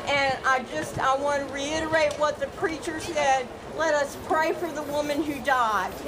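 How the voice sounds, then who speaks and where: In a Southern US accent, a woman with a high voice speaks at a fairly slow pace and with fairly even intonation, with music in the background and audible room echo. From US South (Virginia, South Carolina). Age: 60s. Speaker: rally speaker. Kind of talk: public speech. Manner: loud.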